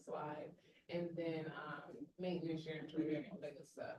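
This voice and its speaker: Audible room echo surrounds a woman's voice. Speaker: school leader. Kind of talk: presentation to a board meeting. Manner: fast.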